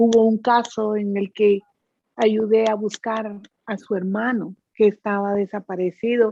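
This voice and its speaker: Dry and close with no echo, a woman's fairly high voice has a dark, mellow tone and a flat monotone as she speaks at a fairly slow pace. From Guatemala. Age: 60s. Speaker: psychic medium. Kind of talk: interview.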